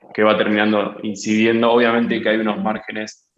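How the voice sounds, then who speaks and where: This man's voice sits fairly low. He talks at a moderate speed. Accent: Argentine. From Argentina. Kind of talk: webinar Q&A. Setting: video webinar. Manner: halting.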